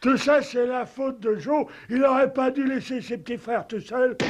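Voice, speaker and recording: A man does a cartoonish character voice, extremely high in pitch, with fairly even intonation at a moderate pace. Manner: slow, innocent.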